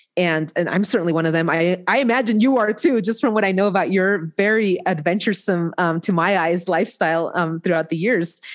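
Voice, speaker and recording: A woman talks at a fairly quick pace with hardly any pauses, in a plain, everyday voice. Her pitch is medium, with ordinary variation and very even loudness. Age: 40s. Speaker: court interpreter. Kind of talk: interview.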